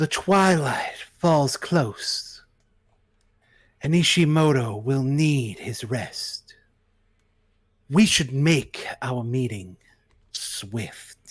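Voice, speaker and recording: A man puts on a character voice at a fairly high pitch. He talks at a very slow pace. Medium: actual play. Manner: solemn, measured.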